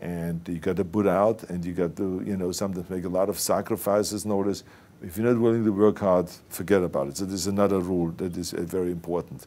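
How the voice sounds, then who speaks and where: With an Austrian accent, a man speaks very fast in a very deep, low pitch, his tone dark and mellow and his intonation fairly even. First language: German. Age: 60s. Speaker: actor and former governor. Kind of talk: interview answer.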